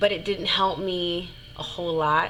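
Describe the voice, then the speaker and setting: A woman at a very slow pace with music in the background. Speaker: singer and vlogger. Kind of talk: personal testimony vlog. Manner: halting, with repetitions.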